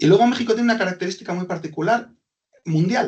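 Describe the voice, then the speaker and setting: A man talks at a very fast pace. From Basque Country, Spain (Hondarribia, Gipuzkoa). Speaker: business consultant. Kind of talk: webinar presentation.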